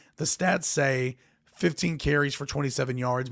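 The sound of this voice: A man puts on a raspy character voice at a medium pitch, with fairly even intonation.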